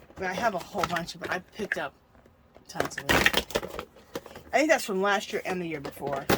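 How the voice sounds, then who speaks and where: A woman talks at a fairly quick pace, her medium-pitched voice carrying lively intonation and broken by long, frequent pauses. Noticeable background noise runs under her speech. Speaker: craft video creator. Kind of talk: tutorial.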